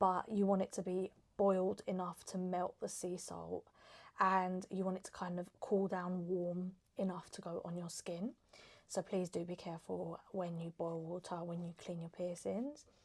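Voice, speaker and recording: A soft-spoken woman with an English accent, medium pitch, fairly even intonation and a moderate pace. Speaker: lifestyle vlogger. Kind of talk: casual chat.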